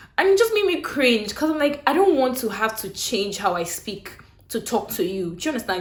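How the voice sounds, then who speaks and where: A woman with a Nigerian accent talks at a fairly quick pace, her pitch swinging very widely. Room echo is audible and background noise is noticeable. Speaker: YouTuber. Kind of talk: casual storytelling vlog. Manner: clear; animated.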